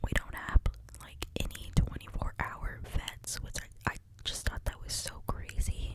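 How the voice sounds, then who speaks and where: A man whispering in a sad tone at a fairly slow pace, with big swings in loudness and noticeable background noise. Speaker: ASMR creator. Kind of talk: whisper ramble to camera. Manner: whispered, soft-spoken, sad.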